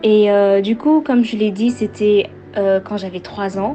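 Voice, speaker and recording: The speech moves at a very slow pace with fairly even intonation. Music sits in the background. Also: woman. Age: 20s. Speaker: testimony giver. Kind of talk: testimony. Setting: recorded voice message. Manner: halting, many fillers.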